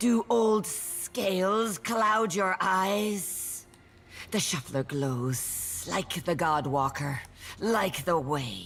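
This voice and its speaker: A put-on character voice sits at a middle pitch. The delivery is very slow. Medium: video game.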